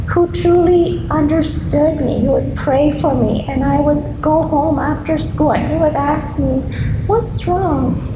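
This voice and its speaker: A woman talks fairly slowly while the room echo is audible and background noise is noticeable. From East Africa. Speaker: grief counselor. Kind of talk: keynote speech. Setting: school assembly with audience. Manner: soft-spoken.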